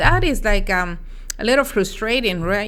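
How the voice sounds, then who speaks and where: A woman speaks at a medium pitch. She has a Spanish accent. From Mexico. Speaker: dietitian. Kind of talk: interview. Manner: halting, with frequent fillers.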